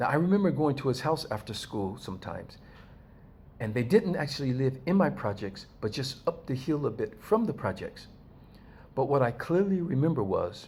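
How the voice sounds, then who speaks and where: At a moderate pace, a man speaks in a somewhat breathy voice with very wide pitch swings. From US West Coast, East Los Angeles. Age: 60s. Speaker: video blogger. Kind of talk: personal commentary monologue. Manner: conversational, addresses viewers directly.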